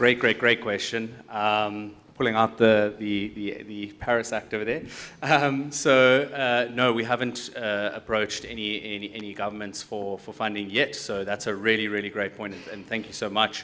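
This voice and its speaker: Here a man with a South African accent speaks at a fairly low pitch and a moderate pace, with fairly even intonation and big swings in loudness. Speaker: tech company founder; panelist. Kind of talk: panel discussion. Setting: stage with audience. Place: hall. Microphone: handheld.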